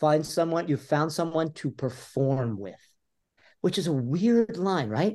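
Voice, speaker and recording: A man's fairly high, animated voice with an American accent and lively intonation, over a quiet background. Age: 60s. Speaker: author. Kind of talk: interview.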